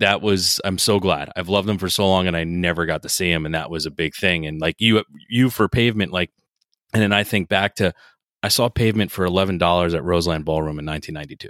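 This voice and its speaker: Speaking with an American accent, a man with a very deep, low pitch talks at a very fast pace in an enthusiastic tone. His pitch varies in an ordinary way, and the very clean recording has a dry, close sound with no echo and a silent background. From New Jersey, outside New York City. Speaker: podcast host. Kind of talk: casual interview chat. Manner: enthusiastic, casual.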